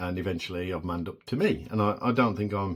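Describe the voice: A man with a low pitch and ordinary pitch variation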